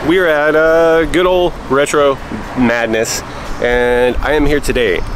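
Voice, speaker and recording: A man's voice, dry with no echo, over noticeable background noise. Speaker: collector vlogger. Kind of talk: casual vlog chat. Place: street. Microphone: phone near.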